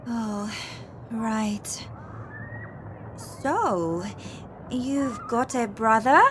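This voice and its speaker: Speech moves at a very slow pace with long, frequent pauses over noticeable background noise. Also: woman, fairly high pitch for a woman, ordinary pitch variation. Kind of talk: scripted English-learning dialogue.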